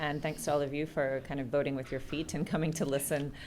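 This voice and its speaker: In an American accent, a woman speaks with a very deep, low pitch and fairly even intonation. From United States. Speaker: executive director of a city resilience network. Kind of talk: panel discussion introduction. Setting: live event with audience. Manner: hesitant, many fillers.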